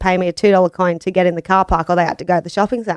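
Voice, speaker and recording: Recorded dry and close with no echo, a woman speaks at a medium pitch in a strong Australian accent. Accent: broad Australian. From Australia, Gold Coast, Queensland. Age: 30s. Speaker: business owner. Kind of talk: casual interview chat. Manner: loud, brash.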